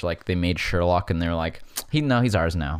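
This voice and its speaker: The speech comes very fast with lively intonation, on a very clean recording with a silent background. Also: man. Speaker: podcast host. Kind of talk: casual rant. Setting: home basement. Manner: casual, filler-heavy.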